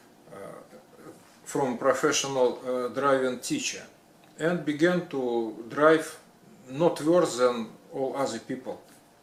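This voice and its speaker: A man with a fairly high pitch and a non-native accent at a very slow pace, with long, frequent pauses, ordinary pitch variation and noticeable background noise. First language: not English. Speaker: retired electrician. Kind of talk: personal story. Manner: halting, many fillers.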